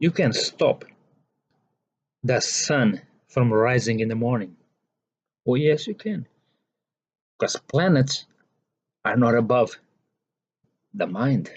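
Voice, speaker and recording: A man with a non-native accent speaks very slowly at a medium pitch, leaving long, frequent pauses. His voice is somewhat breathy and his intonation lively. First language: not English. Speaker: spiritual teacher. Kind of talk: monologue lecture.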